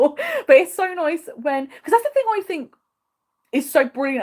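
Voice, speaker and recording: A woman with an English accent speaks in an animated tone, her pitch swinging very widely. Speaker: travel vlogger. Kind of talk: livestream Q&A. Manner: fast.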